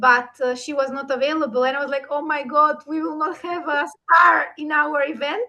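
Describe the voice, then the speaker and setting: A woman with a high pitch and a bright, sharp tone speaks in a raised, projected voice, with hardly any pauses. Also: ordinary pitch variation, moderate pace. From North Macedonia. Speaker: event organizer and session host. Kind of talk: online interview conversation.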